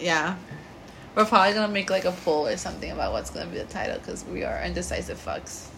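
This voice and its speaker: A woman with a Puerto Rican accent talks at a very fast pace. Room echo can be heard. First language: Spanish. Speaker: podcast co-host. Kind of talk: casual chat. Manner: animated.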